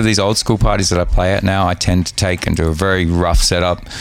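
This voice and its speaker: With music in the background, a man speaks in an Australian accent at a very deep, low pitch. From Australia, Sydney. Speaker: DJ and radio host. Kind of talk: casual chat. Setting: hotel room.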